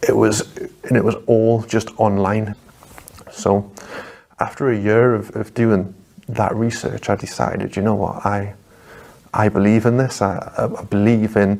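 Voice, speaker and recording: A man with a Geordie accent speaks at a fairly slow pace in a fairly low, monotone, flat voice. His speech has long, frequent pauses. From northeast England, Newcastle. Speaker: convert to Islam. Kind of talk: testimony. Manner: halting, repeats words.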